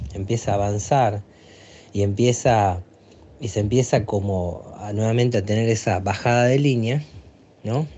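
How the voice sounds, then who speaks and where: Here a man speaks at a fairly slow pace. His pitch sits in the medium range. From Aguaray, Salta, northern Argentina. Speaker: educational psychologist. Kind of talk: interview testimony. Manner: halting, many fillers.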